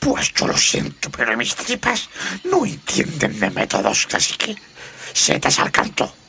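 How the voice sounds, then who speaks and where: Using a put-on character voice, a man speaks at a fairly slow pace with a fairly high pitch. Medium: audio drama.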